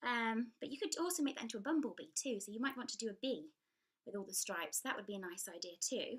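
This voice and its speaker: Speaking at a very fast pace, a woman with an English accent has a fairly high pitch. Her pitch swings very widely. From England. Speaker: children's book author and illustrator. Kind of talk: tutorial. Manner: hesitant, with many fillers.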